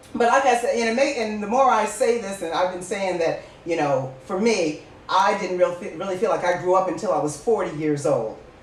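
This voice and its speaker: With lively intonation and a medium pitch, a woman speaks at a fairly quick pace amid audible room echo and noticeable background noise. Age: 60s. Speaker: podcast host. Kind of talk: casual chat. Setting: live stream. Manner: animated.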